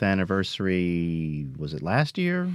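His pitch swings very widely. The man talks with an American accent. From US South, Philadelphia, Mississippi. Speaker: actor and elementary school teacher. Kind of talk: radio interview.

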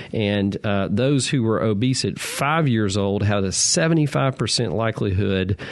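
A man with a Southern US accent speaks at a fairly low pitch over noticeable background noise. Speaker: physician radio host. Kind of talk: call-in medical advice show. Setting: studio.

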